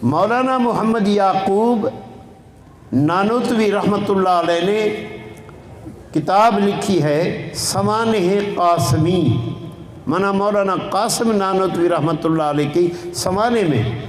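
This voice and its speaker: Over noticeable background noise and audible room echo, a man speaks at a high pitch with ordinary pitch variation. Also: very even loudness. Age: 70s. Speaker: Islamic scholar, hadith teacher. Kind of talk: religious lecture on hadith.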